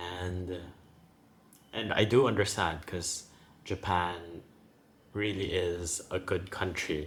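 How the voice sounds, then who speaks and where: A man with a very deep, low, somewhat breathy voice talks very slowly, his intonation fairly even and his speech broken by long, frequent pauses. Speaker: former teacher in Japan. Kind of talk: personal vlog talk to camera.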